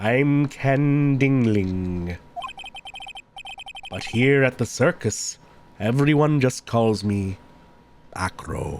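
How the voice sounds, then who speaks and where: A man's put-on character voice at medium pitch, very slow, with lively intonation and long, frequent pauses. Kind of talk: solemn church-like intoning. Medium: game stream. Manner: serene, calm.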